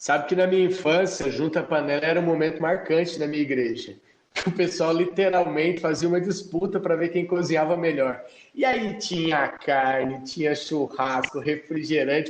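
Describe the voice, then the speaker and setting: Moderately paced speech from a man, his pitch fairly high. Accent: interior Paraná. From Mamborê, Paraná, Brazil. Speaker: podcast co-host. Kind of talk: casual chat.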